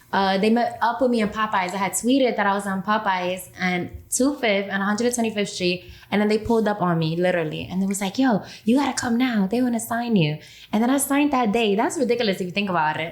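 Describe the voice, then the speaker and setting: A woman of medium pitch speaks at a very fast pace with a New York accent and ordinary pitch variation. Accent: New York (Bronx). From New York, the Bronx. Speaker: rapper. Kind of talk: interview.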